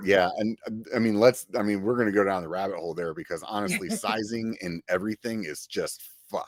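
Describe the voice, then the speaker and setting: An unremarkable speaking voice belongs to a man pitched fairly low, talking at a fairly quick pace with hardly any pauses. His pitch varies normally, and the sound is dry and close with no echo. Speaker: podcast host. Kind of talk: casual podcast conversation. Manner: upbeat.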